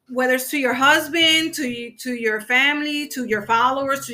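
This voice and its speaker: Her voice raised and projected, a woman speaks at a moderate pace with a high pitch and ordinary pitch variation. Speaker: livestream interviewer host. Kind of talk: casual interview chat. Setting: Instagram live stream.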